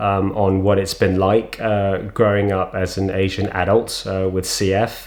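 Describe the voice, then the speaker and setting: Slow-ish in pace, a man speaks in a fairly low voice with fairly even intonation. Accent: London. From London, England. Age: 40s. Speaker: vlogger with cystic fibrosis. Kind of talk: personal testimony. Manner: halting, many fillers.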